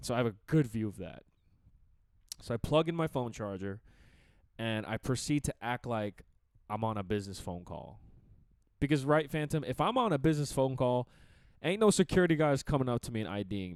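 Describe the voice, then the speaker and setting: Over a very clean recording with a silent background and a dry, close sound with no echo, a man speaks at a fairly quick pace in a medium pitch, his tone animated despite long, frequent pauses. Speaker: podcast host. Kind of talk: casual storytelling.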